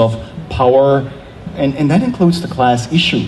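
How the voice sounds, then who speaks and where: A man with a German accent at medium pitch and a fairly quick pace, with noticeable background noise and audible room echo. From Germany, small town. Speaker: theology professor. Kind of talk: panel discussion.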